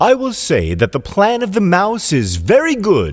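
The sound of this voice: A man puts on a character voice with a high pitch. He talks at a fairly slow pace with very wide pitch swings.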